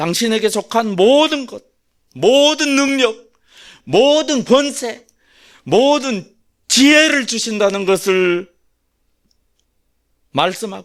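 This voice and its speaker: On a very clean recording with a silent background, a man speaks very slowly at an extremely high pitch, his intonation lively and his speech full of long, frequent pauses. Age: 60s. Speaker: pastor. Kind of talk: sermon.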